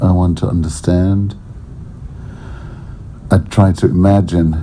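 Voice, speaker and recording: Over noticeable background noise, a man talks at a fairly slow pace, his very deep, low voice monotone and flat. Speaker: artist. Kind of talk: unscripted spoken word piece. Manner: serious yet amusing.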